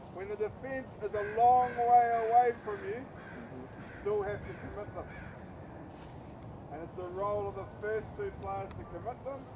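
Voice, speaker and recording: A man's high-pitched voice with ordinary pitch variation at a fairly slow pace, amid audible room echo and noticeable background noise. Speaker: rugby coach. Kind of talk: coaching instruction on the field. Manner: loud, commanding.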